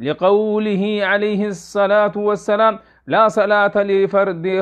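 A man with a high-pitched voice talks at a fairly slow pace against a quiet background. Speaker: religious teacher. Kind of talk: lecture. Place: studio. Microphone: lapel.

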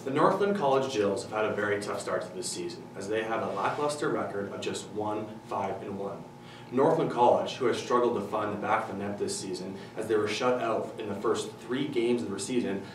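A man speaks with noticeable background noise and audible room echo. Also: ordinary pitch variation, fairly quick pace. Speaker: presenter. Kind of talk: sports news report. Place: studio.

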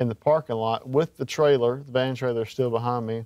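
A man's medium-pitched, monotone, flat delivery in a Mississippi accent. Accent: Southern US (Mississippi). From Mississippi Gulf Coast. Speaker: country singer-songwriter. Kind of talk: interview. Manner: halting, with many fillers.

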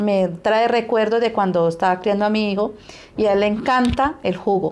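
Her pitch varies in an ordinary way. The woman keeps a moderate pace. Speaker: home cook host. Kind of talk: cooking tutorial chat. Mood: warm, cheerful, nostalgic. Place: kitchen.

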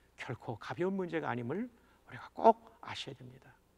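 Against a quiet background, a man is speaking. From South Korea, Busan; South Korea. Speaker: pastor. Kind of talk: sermon. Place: studio. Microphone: lapel.

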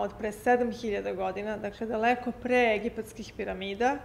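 A woman's fairly quick speech with fairly even intonation, over light background noise. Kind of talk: interview answer. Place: hall.

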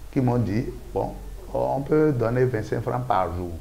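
A man's pitch shifts in an ordinary way. Some light noise sits in the background. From Benin. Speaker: local elected official; interviewee. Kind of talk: interview. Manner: halting. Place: studio. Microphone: lapel.

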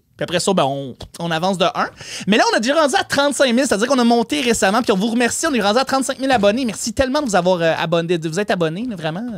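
A very fast man's voice with a Quebec accent, high in pitch with very wide pitch swings, over noticeable background noise. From Quebec, Côte-Nord. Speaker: stand-up comedian. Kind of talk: stand-up. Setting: stage with audience.

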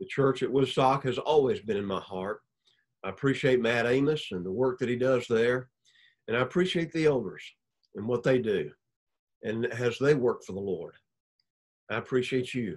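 A man talks at a moderate pace with ordinary pitch variation, leaving long, frequent pauses against a quiet background. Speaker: preacher. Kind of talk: sermon. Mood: warm, appreciative. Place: home room. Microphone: webcam.

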